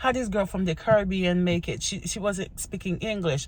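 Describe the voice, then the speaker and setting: Somewhat breathy and fairly low for a woman, her voice moves at a fairly quick pace with ordinary pitch variation. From Haiti. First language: Haitian Creole. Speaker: vlogger. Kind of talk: casual get-to-know-me vlog. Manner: animated.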